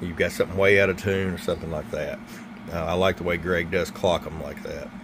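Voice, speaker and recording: A man speaks in a fairly low voice with fairly even intonation. Noticeable background noise is present. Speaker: CB radio equipment seller and reviewer. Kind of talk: product review. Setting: workbench. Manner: casual with many fillers. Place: workshop.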